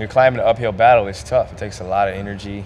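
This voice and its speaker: A man is speaking, with noticeable noise in the background. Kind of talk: interview answer. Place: hall. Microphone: handheld.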